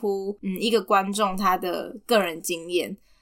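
A woman speaks with a Taiwanese accent. Her pace is very slow. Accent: Taiwanese Mandarin. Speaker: podcast co-host. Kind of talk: casual chat about a film.

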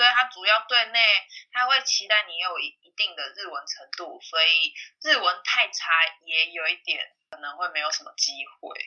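Her pitch swinging very widely, a woman keeps to a moderate speed. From Taiwan. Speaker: salesperson. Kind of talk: casual interview.

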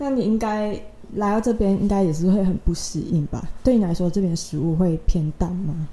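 With a Malaysian accent, the speaker uses a somewhat breathy, dark, mellow tone at a moderate pace with ordinary pitch variation. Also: woman, medium pitch for a woman. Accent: Malaysian accent in Mandarin. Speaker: university student podcast host. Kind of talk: casual chat.

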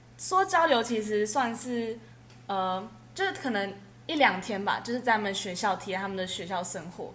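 Audible room echo fills the space. The pace is moderate and the pitch variation ordinary. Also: woman, fairly high pitch for a woman. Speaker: university student. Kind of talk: casual chat.

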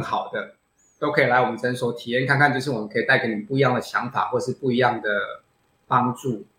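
A man talks with ordinary pitch variation. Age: 40s. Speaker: plastic surgeon and bodybuilder. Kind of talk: interview. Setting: video call.

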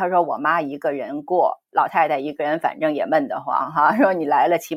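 At a moderate pace, a woman with a fairly low pitch speaks in a dry, close sound with no echo. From China. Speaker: podcast host and former TV news producer. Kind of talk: interview. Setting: video call.

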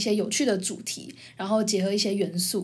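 A woman's voice sounds somewhat breathy, moving at a fairly quick pace. Room echo is audible. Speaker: podcast host, university student. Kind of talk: casual chat.

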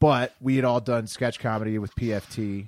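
Speaking at a fairly slow pace in an American accent, a man has an ordinary speaking voice at a medium pitch, with fairly even intonation and a dry, close sound with no echo. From Washington D.C. area. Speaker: podcaster. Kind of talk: casual chat.

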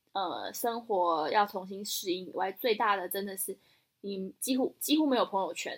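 A woman speaks with a Taiwanese accent at a moderate pace. Her medium pitch shows ordinary variation. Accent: Taiwanese Mandarin. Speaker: podcast co-host. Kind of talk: casual chat.

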